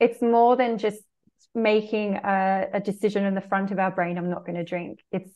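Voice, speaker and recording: A woman with an Australian accent, medium pitch, monotone, flat intonation and a moderate pace. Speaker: spiritual mentor and meditation teacher. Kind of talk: casual chat.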